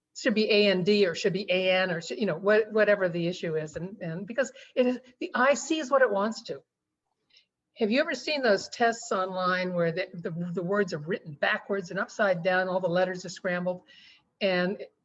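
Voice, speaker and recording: A woman's medium-pitched voice with ordinary pitch variation over a quiet background. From Texas, Army brat. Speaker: romance author. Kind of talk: interview. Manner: halting, many fillers.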